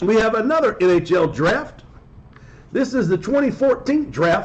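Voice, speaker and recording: Here a man talks at a moderate pace in a high pitch. His pitch swings very widely. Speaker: sports card breaker streamer. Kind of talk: live stream commentary. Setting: live stream. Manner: speaking in a lowered voice, unnaturally.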